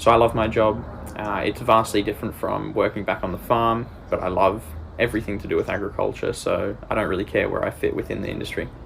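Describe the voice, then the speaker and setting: A man in an Australian accent at a very fast pace, over noticeable background noise. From Australia, rural Queensland. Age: 20s. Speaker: agtech business development lead. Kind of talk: career profile monologue.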